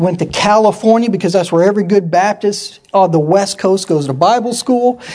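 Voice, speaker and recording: Over noticeable background noise, a man with an American accent talks in an animated tone at a high pitch, with hardly any pauses and very even loudness. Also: ordinary pitch variation, moderate pace. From US Pacific Northwest (Yakima, Washington). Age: 40s. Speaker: missionary and military veteran. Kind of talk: church talk / sermon. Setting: church with audience.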